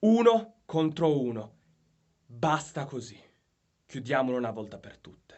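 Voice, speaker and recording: A man speaks at a fairly slow pace with long, frequent pauses. His pitch swings very widely and his loudness shifts a lot. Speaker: professional wrestler. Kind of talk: wrestling promo challenge to a rival. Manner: angry, confrontational, assertive.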